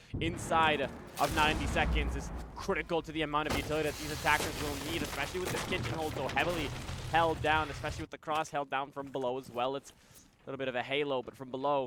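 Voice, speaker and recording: Over noticeable background noise, a man talks very fast at a fairly high pitch, keeping his intonation fairly even. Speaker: esports caster. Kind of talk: live commentary.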